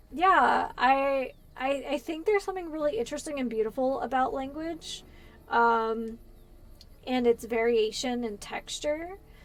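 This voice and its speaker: Her intonation lively and her pitch high, a woman with an American accent speaks at a fairly slow pace. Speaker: gaming streamer. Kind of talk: casual live-stream chat while gaming.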